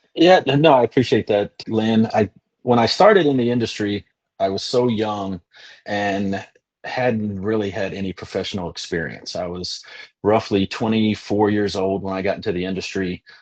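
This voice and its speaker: With a slight Kentucky accent, a man speaks at a fairly low pitch and moderate pace with ordinary pitch variation, in a dry, close sound with no echo. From Western Kentucky, US. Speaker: insurance agent. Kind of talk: webinar testimony. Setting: video webinar.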